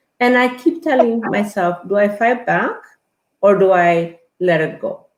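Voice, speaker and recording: This speaker has an Ethiopian accent and lively intonation. The pace is fairly slow. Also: woman, medium pitch for a woman. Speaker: guest. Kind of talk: interview conversation. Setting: live online stream.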